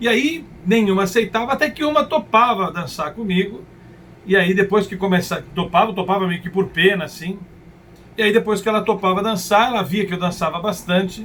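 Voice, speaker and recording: A man speaks at a fairly quick pace. His pitch is high, with ordinary variation. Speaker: motivational speaker. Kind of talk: personal storytelling monologue. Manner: occasional hesitations and restarts.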